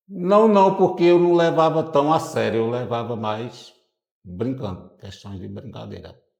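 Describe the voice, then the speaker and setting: Speaking fairly slowly, a man of medium pitch swings widely in pitch and shifts sharply in loudness. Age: 60s. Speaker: longtime smoker interviewee. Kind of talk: interview. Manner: halting.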